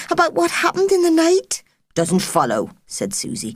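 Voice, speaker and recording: Her voice is somewhat breathy. The woman talks at a moderate pace. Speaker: audiobook narrator. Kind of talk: audiobook narration of a children's novel. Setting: studio.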